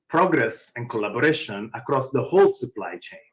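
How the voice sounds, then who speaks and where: A man with a strong Italian accent at a moderate pace. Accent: thick Italian. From Italy. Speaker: open source foundation executive. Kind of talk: conference panel talk.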